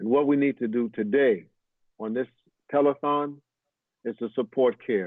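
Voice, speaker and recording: A man with a medium-pitched voice speaks at a moderate pace with ordinary pitch variation and long, frequent pauses. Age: 60s. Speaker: imam. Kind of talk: fundraising appeal.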